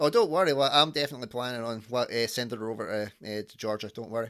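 A man with a Scottish accent talks at a very fast pace, his medium-pitched voice rising and falling in an ordinary way. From Scotland. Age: 30s. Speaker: podcast host. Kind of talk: casual chat. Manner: animated.

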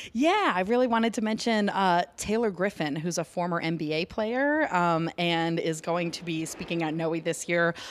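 In an ordinary speaking voice, a woman speaks at a fairly low pitch and a moderate pace with ordinary pitch variation and hardly any pauses. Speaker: nonprofit communications director. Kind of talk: interview. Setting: co-working office.

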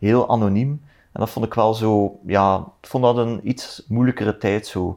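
Against a quiet background, a man with a Flemish accent speaks at a very slow pace, his fairly low voice kept to fairly even intonation. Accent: Flemish Dutch. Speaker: politician. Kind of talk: casual chat. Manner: halting.

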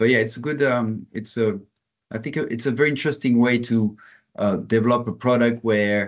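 A man talks in a normal speaking voice at a fairly quick pace with ordinary pitch variation. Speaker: software product manager. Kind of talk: casual interview.

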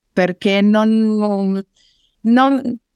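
A very clean recording with a silent background, a dry, close sound with no echo, and ordinary pitch variation. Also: woman. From northern Italy, Turin. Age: 40s. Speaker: network marketer. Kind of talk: interview testimony.

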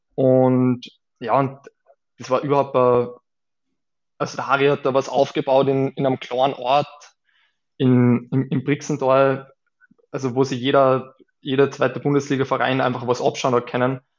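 Medium-pitched man's voice, monotone and flat, at a moderate pace with long, frequent pauses. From Austria, Salzburg (Saalfelden). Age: 30s. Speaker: beach volleyball player. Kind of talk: interview.

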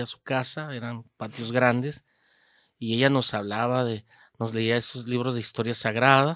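Medium in pitch, a man speaks at a moderate pace with fairly even intonation. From Hermosillo, Sonora, Mexico. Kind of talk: interview about his vocation story. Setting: seminary. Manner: halting, many repeated words.

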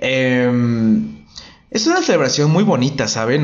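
A man speaks at a fairly slow pace in an animated tone. Audible room echo surrounds his voice. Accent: Mexican. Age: 20s. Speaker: podcast host. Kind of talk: casual monologue.

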